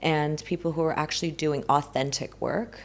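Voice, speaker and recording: A woman with a Southern California accent talks at a very deep, low pitch with fairly even intonation. The recording is very clean, with a silent background. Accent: American Valley girl. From US, Los Angeles. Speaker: spiritual healing coach. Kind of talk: podcast interview.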